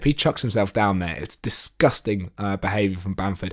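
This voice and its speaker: A man with a normal speaking voice talks at a fairly quick pace in a fairly low pitch, on a very clean recording with a silent background. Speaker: podcast co-host and football fan. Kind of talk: casual football chat.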